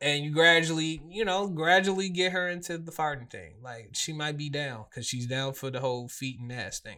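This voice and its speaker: Speaking at a moderate pace with hardly any pauses, this bright, sharp voice shows ordinary pitch variation and big swings in loudness, recorded very cleanly against a silent background. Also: man, fairly high pitch for a man. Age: 30s. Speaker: podcast host. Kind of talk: casual chat.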